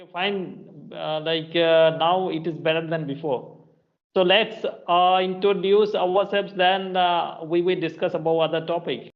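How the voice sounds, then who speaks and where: A man with a Bengali accent speaks at a fairly slow pace and a high pitch. His loudness swings widely while his intonation stays fairly even. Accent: Indian (Bengali) English. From India, West Bengal (Purulia). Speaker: English teacher, channel host. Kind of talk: casual chat. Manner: halting, many fillers.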